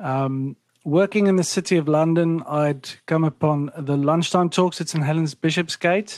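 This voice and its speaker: A man with a South African accent, a fairly high pitch, fairly even intonation and a moderate pace. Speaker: ministry national director. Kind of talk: casual chat.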